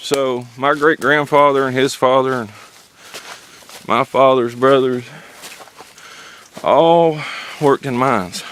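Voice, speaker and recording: Through noticeable background noise, a man with a medium pitch speaks at a fairly slow pace. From Eastern Kentucky (Pikeville), Appalachia. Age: 30s. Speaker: coal miner. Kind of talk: casual vlog narration. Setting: outdoors, at an old mine.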